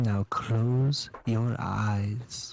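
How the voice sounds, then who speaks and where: The speaker puts on a character voice at a low pitch. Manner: smooth, soothing, close.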